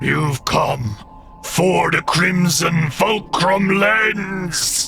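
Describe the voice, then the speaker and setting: A man's put-on character voice, growling and guttural, high for a man, at a very slow pace, with clear background noise. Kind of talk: monster voice, comic menace. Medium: actual play. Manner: grandiose, ends phrases with guttural "gug, gug, gug".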